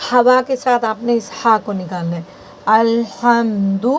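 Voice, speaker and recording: A woman's fairly high voice with ordinary pitch variation and noticeable background noise. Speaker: Quran recitation teacher. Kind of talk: tutorial.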